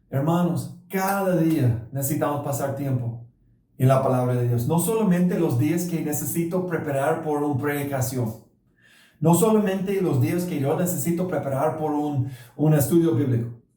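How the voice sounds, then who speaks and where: Audible room echo surrounds a man with a dark, mellow tone. He speaks at a fairly slow pace with ordinary pitch variation. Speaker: pastor. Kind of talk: sermon. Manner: halting.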